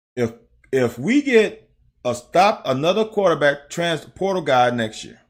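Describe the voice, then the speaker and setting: Speaking fairly slowly with an American accent, a man uses a fairly high pitch, very wide pitch swings and an animated tone. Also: big swings in loudness. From US South (Mississippi). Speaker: sports streamer, former football player. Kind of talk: casual game film breakdown livestream.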